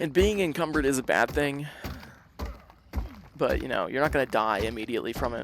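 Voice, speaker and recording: The speech moves at a fairly quick pace but has long, frequent pauses. Noticeable noise sits in the background. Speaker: gaming streamer. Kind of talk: live gameplay stream commentary. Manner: casual, rambling with many fillers.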